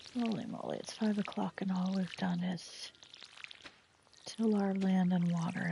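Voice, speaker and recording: A woman speaks at a moderate pace in a flat, monotone way, with noticeable background noise behind her. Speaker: gaming streamer. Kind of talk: live gameplay commentary. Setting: at home.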